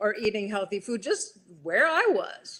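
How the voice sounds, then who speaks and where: Fairly slow in pace, a woman uses a normal speaking voice pitched fairly high. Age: 60s. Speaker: health coach and personal trainer. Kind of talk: live interview. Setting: live video stream.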